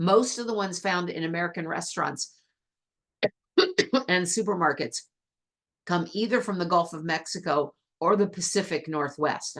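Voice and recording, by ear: Using a hoarse, put-on character voice of medium pitch, a woman speaks at a moderate pace with ordinary pitch variation and long, frequent pauses.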